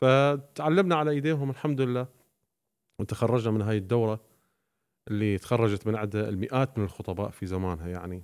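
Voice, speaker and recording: At a moderate pace and medium pitch, a man speaks with lively intonation against a quiet background. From Iraqi family, raised in Syria. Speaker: Shia preacher. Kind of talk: podcast interview. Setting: studio. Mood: calm, reflective storytelling. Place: studio. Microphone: studio mic.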